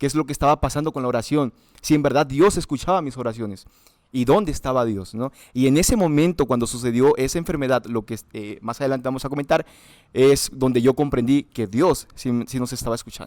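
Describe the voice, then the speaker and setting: Ordinary pitch variation marks delivery that runs at a fairly quick pace. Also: man, medium pitch for a man. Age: 20s. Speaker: student, interview guest. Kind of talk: testimony interview. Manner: halting, with fillers.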